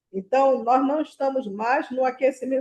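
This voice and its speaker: Speaking at a fairly slow pace, a woman has a high pitch. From Brazil. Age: 70s. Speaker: nurse educator. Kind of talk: lecture. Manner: halting.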